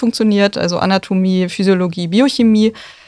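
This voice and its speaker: This woman has a normal speaking voice at a medium pitch, with fairly even intonation. The recording is very clean, with a silent background. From northern Germany, near Neubrandenburg. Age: 20s. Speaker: doctor in training. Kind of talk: casual interview. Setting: radio studio.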